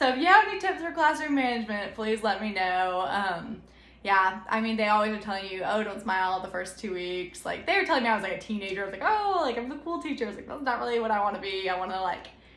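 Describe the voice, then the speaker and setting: A woman's fairly high voice at a very fast pace, with lively intonation, hardly any pauses and audible room echo. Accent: American. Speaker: new elementary school teacher. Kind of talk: casual vlog talk.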